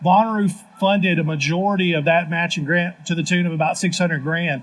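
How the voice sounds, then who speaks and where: Fairly even in intonation, a high-pitched man with a Southern US accent talks at a fairly quick pace. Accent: Southern twang. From Tennessee (Lynchburg). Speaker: city government official. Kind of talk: live panel discussion. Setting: live stage at festival. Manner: halting, with fillers.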